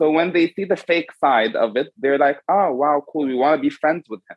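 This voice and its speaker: This man has an ordinary speaking voice with a fairly high pitch. His pitch variation is ordinary. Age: 20s. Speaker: makeup artist. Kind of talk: casual chat.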